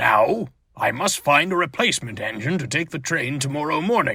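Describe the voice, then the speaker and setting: A man puts on a character voice, fairly high in pitch with very wide pitch swings, at a moderate pace. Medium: read story. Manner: formal, authoritative.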